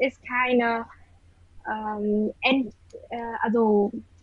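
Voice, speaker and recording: In a Vietnamese accent, a woman speaks at a very slow pace. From Vietnam, Hanoi. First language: Vietnamese (speaking German). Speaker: university student of German. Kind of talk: casual interview; reading aloud. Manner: halting.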